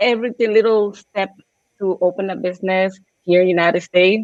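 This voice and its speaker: A woman talks at a medium pitch. Her pace is moderate. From Puerto Rico. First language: Spanish. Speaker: small business owner. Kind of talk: personal story.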